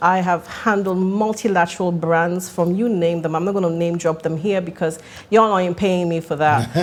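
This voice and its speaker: Noticeable background noise surrounds a woman with a fairly low pitch. She talks at a fairly quick pace with fairly even intonation. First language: Italian. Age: 40s. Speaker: actress and marketing entrepreneur. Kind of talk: podcast interview.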